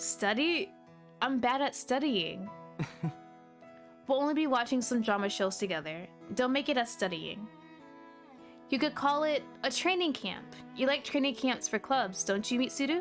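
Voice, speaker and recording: Music behind a woman's high voice, lively intonation, very even loudness, a moderate pace and long, frequent pauses. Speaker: VTuber. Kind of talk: reading game dialogue aloud. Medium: read story.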